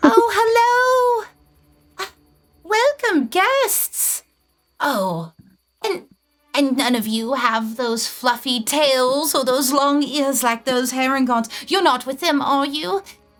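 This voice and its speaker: A female-sounding, put-on character voice speaks very slowly at a high pitch. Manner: nervous, wary.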